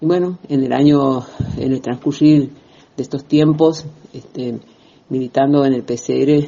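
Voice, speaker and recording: The intonation stays monotone and flat. Delivery comes at a fairly slow pace. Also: man. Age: 60s. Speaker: feminist activist. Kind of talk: recorded testimony. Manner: hesitant, many fillers.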